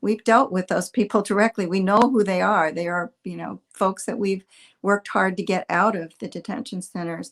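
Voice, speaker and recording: A woman speaks at a moderate pace with vocal fry, a medium pitch and an American accent. The recording is very clean with a silent background, and the sound is dry and close with no echo. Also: fairly even intonation. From partly US South. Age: 70s. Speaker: immigration advocate. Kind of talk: panel discussion.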